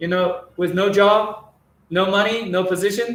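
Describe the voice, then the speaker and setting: A man speaks with a Chinese accent. His voice is high and his intonation monotone and flat. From China. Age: 40s. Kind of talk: testimony. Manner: halting, many repetitions.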